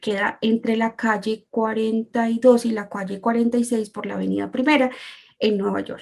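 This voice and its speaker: A woman speaks with a Colombian accent and fairly even intonation. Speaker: translator and interpreter. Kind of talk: presentation talk. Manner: hesitant, many fillers.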